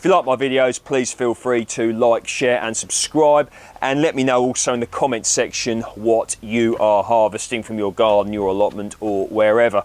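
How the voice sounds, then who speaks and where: A man at a moderate pace with hardly any pauses, ordinary pitch variation, and a dry sound with no echo. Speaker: home gardener vlogger. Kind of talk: casual vlog chat. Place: garden. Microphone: lapel.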